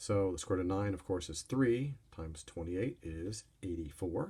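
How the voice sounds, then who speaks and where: The somewhat breathy voice moves at a moderate pace with lively intonation. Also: man. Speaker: math teacher. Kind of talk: recorded lesson.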